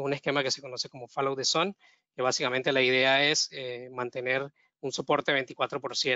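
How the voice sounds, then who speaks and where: Speaking with a Venezuelan accent, a man uses monotone, flat intonation at a medium pitch and a fairly quick pace. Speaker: data engineer. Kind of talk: webinar presentation. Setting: online webinar. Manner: halting, with frequent fillers and repetitions.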